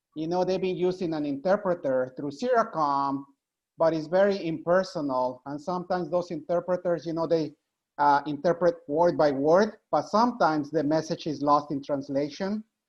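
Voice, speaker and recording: With a Spanish accent, the speaker talks at a moderate pace against a quiet background. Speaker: nurse. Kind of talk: panel discussion.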